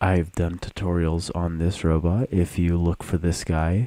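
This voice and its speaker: A man speaks at a fairly slow pace in a very deep, low voice. His intonation stays fairly even. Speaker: YouTuber explaining robot builds. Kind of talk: tutorial.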